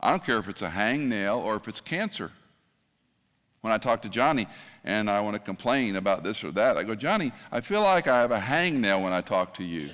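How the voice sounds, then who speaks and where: The man has an unremarkable speaking voice at medium pitch, with lively intonation and a fairly quick pace. The recording is very clean, with a silent background. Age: 60s. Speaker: retired pastor, guest preacher. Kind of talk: sermon. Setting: church with congregation.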